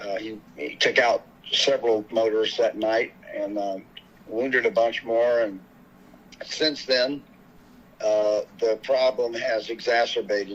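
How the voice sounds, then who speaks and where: A man at medium pitch, fairly slow, with fairly even intonation and long, frequent pauses. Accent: Texan. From Houston, Texas. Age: 60s. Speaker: bereaved father and activist. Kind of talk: interview, personal testimony.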